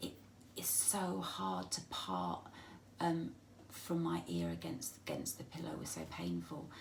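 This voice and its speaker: The speaker has an English accent and keeps a fairly slow pace. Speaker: vlogger with a spinal condition. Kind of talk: personal video diary. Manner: halting.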